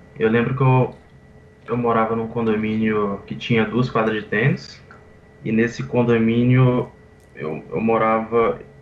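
A man at a medium pitch with ordinary variation, speaking at a fairly slow pace with long, frequent pauses over noticeable background noise. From Brazil, Vitória, Espírito Santo. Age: 20s. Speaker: professional poker player. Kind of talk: interview.

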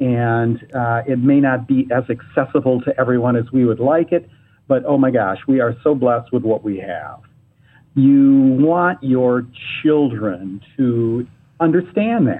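An unremarkable speaking voice from a man with an American accent, medium in pitch, with ordinary pitch variation. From Michigan, Ann Arbor. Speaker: travel agency executive. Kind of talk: casual interview. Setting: phone or remote call.

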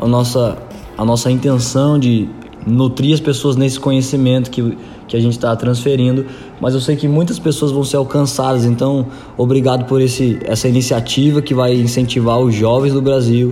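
Noticeable background noise and audible room echo surround a man's speech. His loudness stays very even and his intonation is monotone and flat. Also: medium pitch for a man, moderate pace. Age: 20s. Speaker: church leadership coordinator. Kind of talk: casual interview.

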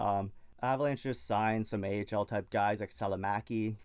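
A man with a Canadian accent speaks in an ordinary speaking voice, with fairly low pitch and fairly even intonation. The recording is very clean, with a silent background. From Canada. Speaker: gaming podcast host. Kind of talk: casual solo podcast talk.

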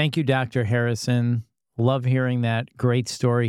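A man talks fairly quickly in a plain, everyday voice at a medium pitch. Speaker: podcast host. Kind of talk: interview.

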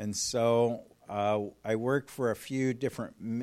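Medium-pitched male voice with an American accent and fairly even intonation. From California, US (Fresno). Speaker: missionary and pastor. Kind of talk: conference talk.

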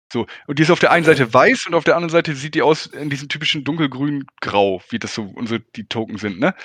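Lively intonation marks this man's speech. He talks at a very fast pace against a quiet background. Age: 30s. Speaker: carpenter and tabletop gamer. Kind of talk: casual chat.

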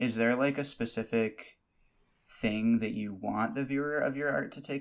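Moderate-paced speech from a man at a medium pitch, over background music. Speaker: podcast host. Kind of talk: interview.

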